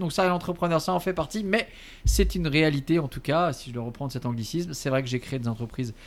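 A man's lively intonation comes through at a very fast pace. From Alsace, France. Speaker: entrepreneur. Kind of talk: interview. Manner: hesitant, with fillers and repetitions; laughs often.

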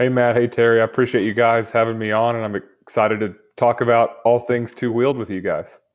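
A man with a Texan accent at medium pitch, flat and monotone, fairly quick, with hardly any pauses. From Texas (Lubbock). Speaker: motorcycle tour guide and action photographer. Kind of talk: interview, casual chat.

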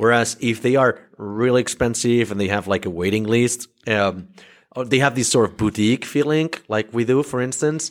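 A man talks in an ordinary speaking voice, at medium pitch and a moderate pace, with ordinary pitch variation. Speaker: podcast host, agency founder. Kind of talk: casual interview.

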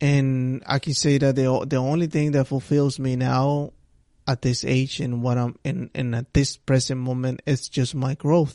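A man speaks at a medium pitch with a non-native accent, his intonation flat and monotone. His tone is dark and mellow, and his pace is fairly slow. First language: not English. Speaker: solo podcast host. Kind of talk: motivational monologue. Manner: repetitive, halting restarts; casual conversational.

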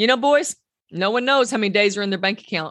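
Speaking at a fairly quick pace, a woman uses a warm, animated tone and lively intonation. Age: 50s. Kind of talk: podcast teaching monologue. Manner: warm and animated.

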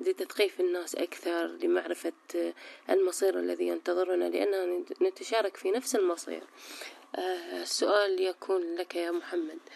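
A woman with a Baghdadi accent at a fairly slow pace, dry and close with no echo. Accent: Iraqi Arabic (Baghdadi). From Iraq, Baghdad. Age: 30s. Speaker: law graduate, activist. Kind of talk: conversational dialogue.

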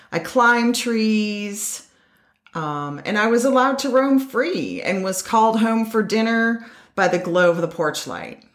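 Speaking at a fairly slow pace, a woman uses lively intonation and a fairly high pitch. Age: 50s. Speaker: podcast host and nature facilitator, retired educator. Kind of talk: personal storytelling monologue.

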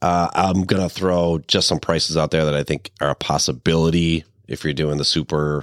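A man speaks in a very deep, low voice with a playful tone. His intonation is flat and monotone, and the sound is dry and close with no echo. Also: moderate pace. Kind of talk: casual banter, horse racing handicapping. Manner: joking, playful banter.

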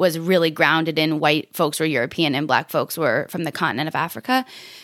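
A woman's fairly low voice, an ordinary speaking voice with ordinary pitch variation at a fairly quick pace, in a very clean recording with a silent background. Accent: American. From US Northeast (southern Vermont). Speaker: community educator and preschool teacher. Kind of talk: interview conversation.

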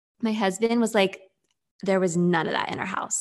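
Against a quiet background, a woman with a medium pitch talks at a moderate pace with fairly even intonation. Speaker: therapist. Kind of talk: interview about parenting.

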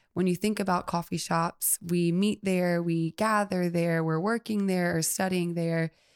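Speaking at a fairly slow pace with hardly any pauses, a woman with an American accent keeps a fairly low pitch, monotone, flat intonation and very even loudness. The recording is very clean, with a silent background and a dry, close sound with no echo. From US South, Mobile, Alabama. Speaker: coffee shop owner. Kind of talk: casual interview. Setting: studio.

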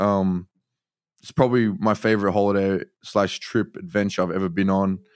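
Recorded very cleanly with a silent background, a man with an Australian accent talks at a fairly quick pace and a fairly low pitch. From Australia, Sydney. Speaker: artist. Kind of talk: interview.

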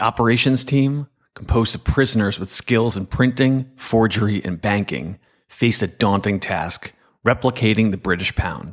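An unremarkable speaking voice from a man, fairly low in pitch with ordinary variation, at a moderate pace, in a very clean recording with a silent background. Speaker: cybersecurity executive and podcast host. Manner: measured, steady, formal; earnest, explanatory, with a storyteller's gravity.

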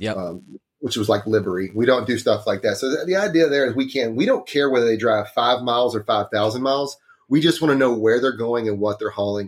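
A man with a Texan accent at medium pitch, fairly quick pace, hardly any pauses and ordinary pitch variation. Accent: Texan, noticeable. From Northeast Texas, small town. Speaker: trucking insurance specialist. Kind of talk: casual interview. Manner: easygoing, self-deprecating.

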